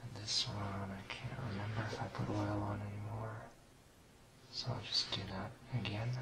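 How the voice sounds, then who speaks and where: Soft-spoken, relaxed male voice, fairly low in pitch, with lively intonation at a moderate pace over noticeable background noise. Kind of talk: ASMR tutorial, soft-spoken instructional talk to camera.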